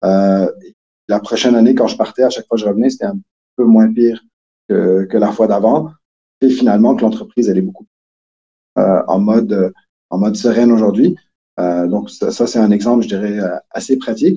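Long, frequent pauses break up this man's speech, delivered in a dark, mellow tone. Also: medium pitch for a man, ordinary pitch variation, moderate pace. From Quebec. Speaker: entrepreneur, company cofounder. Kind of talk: interview conversation.

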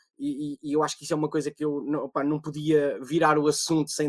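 A man talks at a very fast pace in a dry, close recording with no echo. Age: 30s. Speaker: podcast moderator and musician. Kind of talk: panel moderation.

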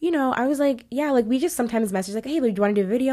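The recording is very clean, with a silent background. In it, a woman talks with an American accent. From Texas and Ghana. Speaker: African food content creator. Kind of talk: casual chat.

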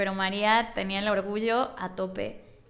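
A woman speaks in a central Mexican accent. Her intonation stays fairly even. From Mexico, Puebla. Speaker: author. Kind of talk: casual chat.

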